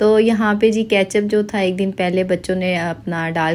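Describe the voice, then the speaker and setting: Monotone, flat intonation from a woman with a medium-pitched voice. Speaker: vlogger. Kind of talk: casual vlog narration. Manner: sluggish, low energy.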